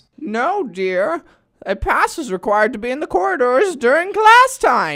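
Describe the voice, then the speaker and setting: A woman puts on a character voice at a high pitch with very wide pitch swings. She keeps a moderate pace on a very clean recording with a silent background. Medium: comedy sketch. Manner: prim, patronizing.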